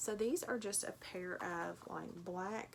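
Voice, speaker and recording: This woman has a Tennessee accent. Her intonation is fairly even. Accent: Tennessee twang. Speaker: online clothing reseller. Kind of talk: unboxing video commentary.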